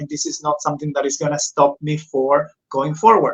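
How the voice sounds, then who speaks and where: Speaking at a moderate pace, a man talks with a Spanish accent. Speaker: podcast host. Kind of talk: interview. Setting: live stream.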